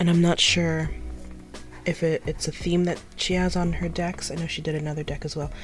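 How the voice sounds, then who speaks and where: With music playing in the background, a woman talks at a moderate pace in a fairly low pitch. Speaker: tarot deck reviewer. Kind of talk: casual talk to camera. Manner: rambling.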